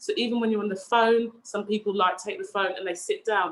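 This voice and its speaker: A woman speaks in a passionate tone. Her fairly high voice keeps a fairly even intonation. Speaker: fitness and wellbeing coach. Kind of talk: online presentation.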